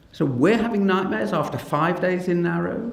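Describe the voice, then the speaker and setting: Audible room echo surrounds a man talking at a moderate pace, his pitch swinging very widely. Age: 60s. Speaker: paediatrician and professor. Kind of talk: public talk. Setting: stage with audience.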